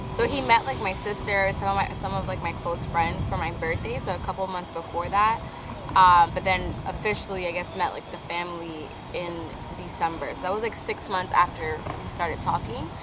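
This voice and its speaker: A woman with an American accent talks at a fairly quick pace in a fairly low pitch, her intonation fairly even, with audible room echo and noticeable background noise. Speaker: vlogger. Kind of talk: casual chat. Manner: loud.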